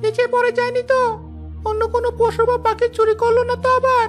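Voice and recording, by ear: Over clear background noise, a cartoonish character voice speaks at a moderate pace.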